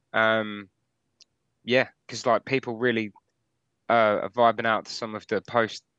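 Against a quiet background, a man with a fairly low pitch and a bright, sharp tone speaks fairly slowly in a flat monotone, the sound dry and close with no echo. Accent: English. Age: 30s. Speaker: metal musician. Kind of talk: casual chat. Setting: video call.

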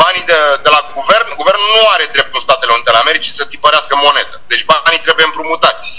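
Noticeable background noise fills the clip. A man rattles off his words at a very fast pace. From Romania. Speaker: Romanian-American commentator on US politics. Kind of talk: interview.

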